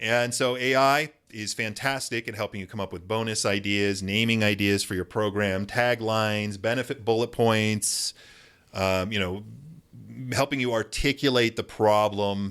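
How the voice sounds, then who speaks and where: A man talks at a moderate pace with fairly even intonation. His is an ordinary speaking voice, fairly low in pitch. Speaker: business coach and YouTuber. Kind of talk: tutorial. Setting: home office.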